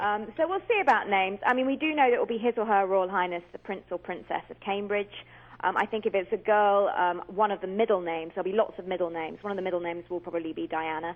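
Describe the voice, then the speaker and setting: A woman speaks very fast with a British accent. Her pitch is medium, with ordinary pitch variation. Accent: British accent, remarked on by hosts. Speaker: commentator and author. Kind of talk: radio interview.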